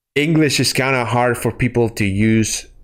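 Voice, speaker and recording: Recorded very cleanly against a silent background, a man speaks with a Spanish accent and ordinary pitch variation. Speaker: gaming streamer. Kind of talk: casual chat. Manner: halting.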